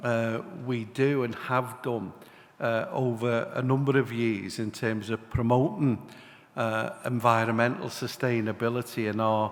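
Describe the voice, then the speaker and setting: At a fairly slow pace, a man with a Liverpool accent speaks at medium pitch with ordinary pitch variation. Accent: Liverpool (Scouse). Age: 60s. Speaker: city mayor. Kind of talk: panel speech. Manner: hesitant, many fillers.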